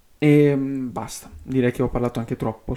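Speaking at a fairly quick pace, a man uses a dark, mellow tone at medium pitch. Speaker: YouTuber. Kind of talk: unscripted video essay. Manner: stream of consciousness, unedited; halting.

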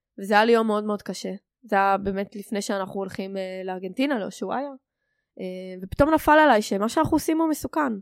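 On a very clean recording with a silent background, a woman talks at a moderate pace in a medium pitch with lively intonation. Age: 20s. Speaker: podcast guest, security tech analyst. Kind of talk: casual chat. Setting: home living room.

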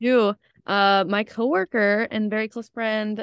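A woman with an unremarkable speaking voice speaks at a fairly high pitch with ordinary pitch variation, in a very clean recording with a silent background and a dry, close sound with no echo. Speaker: student podcast co-host. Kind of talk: casual chat.

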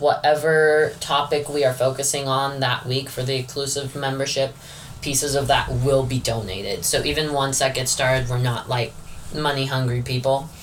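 The speaker has an American accent and keeps a moderate pace. Noticeable background noise runs under the voice. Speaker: podcast host. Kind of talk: casual chat.

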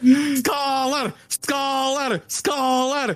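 This is a put-on character voice with a high pitch. It carries a strong non-native accent as part of the act. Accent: thick foreign. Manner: mangled, mispronounced words.

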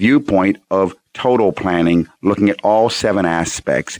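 A man's fairly low voice at a fairly slow pace, with ordinary pitch variation, a quiet background and a dry, close sound with no echo. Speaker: financial planner radio host. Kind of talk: radio call-in advice show. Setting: radio studio with phone callers.

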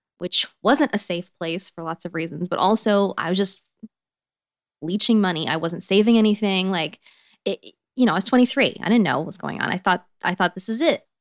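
A normal speaking voice with an American accent moves at a fairly quick pace, its pitch varying in an ordinary way. The sound is dry and close with no echo, and the loudness swings widely. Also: woman, medium pitch for a woman. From Texas, Fort Worth. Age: 30s. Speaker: actress and audiobook narrator. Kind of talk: interview, personal storytelling.

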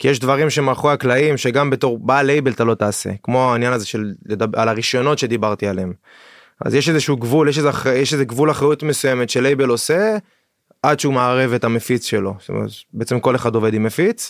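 At a very fast pace, a man talks at medium pitch with ordinary pitch variation and very even loudness. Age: 30s. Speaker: trance music producer and record label co-owner. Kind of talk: casual interview chat. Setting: studio.

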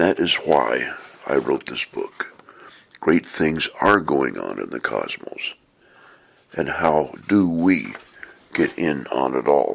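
Pausing often and at length, a man speaks very slowly. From US Pacific Northwest (Portland, Oregon). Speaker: author and podcaster. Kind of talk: reading aloud from own book.

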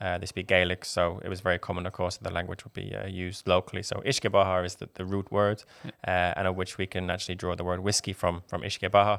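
In an Irish accent, a man with a very deep, low voice speaks very fast with hardly any pauses and a monotone, flat delivery, the sound dry and close with no echo. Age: 20s. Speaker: whiskey ambassador. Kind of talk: casual interview.

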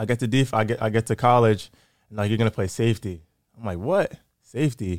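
In an American accent, a man of medium pitch speaks very fast with ordinary pitch variation and big swings in loudness, recorded dry and close with no echo on a very clean, silent background. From Massachusetts, Framingham. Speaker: pro football player. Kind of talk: casual interview chat.

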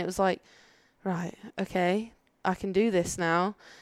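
In a Birmingham accent, a woman speaks at a moderate pace with monotone, flat intonation. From Birmingham, England. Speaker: judo athlete. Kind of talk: casual interview chat. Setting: in person, not studio.

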